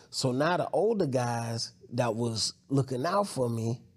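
An ordinary speaking voice from a man, medium in pitch, with ordinary pitch variation. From Newark, New Jersey; raised in North Carolina. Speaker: rapper and media show host. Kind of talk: casual interview.

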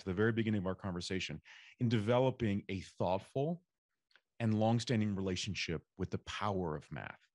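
Man with an unremarkable speaking voice, fairly low pitch, and a fairly quick pace, in a dry, close sound with no echo over a quiet background. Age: 40s. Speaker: podcast host. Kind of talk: interview.

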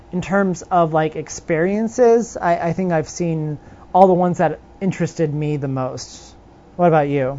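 A woman with a Californian accent speaks at a moderate pace. Her pitch is fairly low, with ordinary variation. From Southern California (Riverside area). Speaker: podcast co-host. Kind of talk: casual chat.

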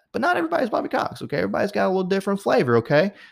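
Very wide pitch swings from a man, on a very clean recording against a silent background. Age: 30s. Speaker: podcast host. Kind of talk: casual monologue.

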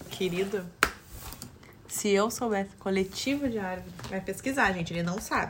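Amid noticeable background noise, a woman speaks at a moderate pace with ordinary pitch variation and long, frequent pauses. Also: medium pitch for a woman. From Brazil. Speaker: host's fiancée. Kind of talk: casual chat.

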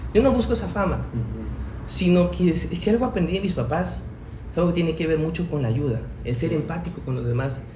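A man talks at a fairly quick pace. There is audible room echo and noticeable background noise. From Mexico, Chiapas (Tuxtla Gutiérrez). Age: 20s. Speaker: teacher. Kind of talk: casual chat.

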